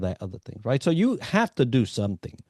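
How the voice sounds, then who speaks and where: His tone is dark and mellow. Little sound intrudes, as the background is quiet. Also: dry, close sound with no echo. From New York, Puerto Rican community. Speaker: executive coach, navy veteran. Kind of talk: interview conversation.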